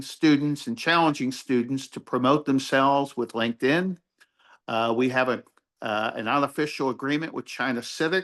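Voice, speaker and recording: Over a quiet background, a man with a normal speaking voice talks at a fairly high pitch with ordinary pitch variation. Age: 60s. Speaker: university faculty member teaching aging services. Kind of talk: info session presentation. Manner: casual, with fillers and repetitions.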